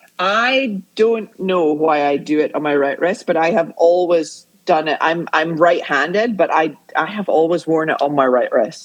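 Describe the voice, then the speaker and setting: A woman with an American accent speaks fairly slowly in a fairly low voice, with hardly any pauses. Her pitch varies in an ordinary way. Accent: Scottish, flattened with a little American. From Scotland. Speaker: arts educator, podcast guest. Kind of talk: casual chat. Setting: video call.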